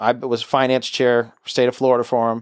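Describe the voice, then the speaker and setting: A man with a Southern US accent talks at a medium pitch. The sound is dry and close with no echo, on a very clean recording with a silent background. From US South. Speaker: political podcast host. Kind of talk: casual political chat. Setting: home studio bunker.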